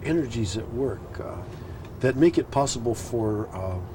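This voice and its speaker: Noticeable background noise surrounds a man speaking. He talks at a very slow pace with lively intonation. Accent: American. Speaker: poet. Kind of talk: interview answer. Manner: hesitant, reflective.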